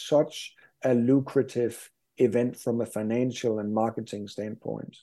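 With a Danish accent, a man speaks in a dark, mellow tone. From Denmark. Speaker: sports business expert. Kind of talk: interview.

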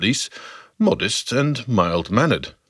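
A man speaks at a fairly slow pace in a fairly high pitch, with very wide pitch swings. His voice carries vocal fry on a very clean recording with a silent background. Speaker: narrator of a historical podcast series. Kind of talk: scripted dramatic narration, storytelling. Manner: vivid, dramatic, storyteller's pacing; inviting, guiding the listener through the scene.

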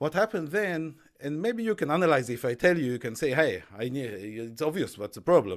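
On a very clean recording with a silent background, a man with an Israeli accent speaks at a very fast pace, his fairly high pitch swinging very widely. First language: Hebrew. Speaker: entrepreneur and author. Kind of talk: interview. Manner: halting.

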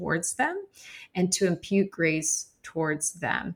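A woman with an American accent talks at a fairly slow pace in a medium pitch, with fairly even intonation. She has a plain, everyday voice. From Arizona. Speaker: founder of a children's Bible storytelling organization. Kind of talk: interview.

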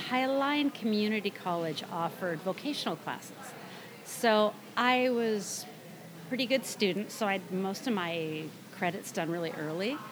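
A woman with an American accent and an unremarkable speaking voice, medium-pitched, with lively intonation at a fairly slow pace. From US Pacific Northwest (Burien, near Seattle). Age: 60s. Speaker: woodworker and former aircraft engineer. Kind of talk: casual interview chat.

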